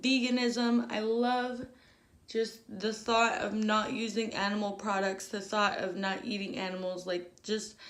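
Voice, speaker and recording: A woman speaks fairly slowly in a fairly high pitch. There is audible room echo. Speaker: diet vlogger. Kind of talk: casual vlog. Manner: hesitant, repeats words.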